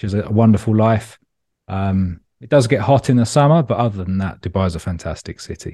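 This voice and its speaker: With a London accent, a man speaks at a fairly quick pace in a fairly low, dark, mellow voice over a quiet background. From London, England. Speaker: startup founder. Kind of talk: interview. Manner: casual, relaxed.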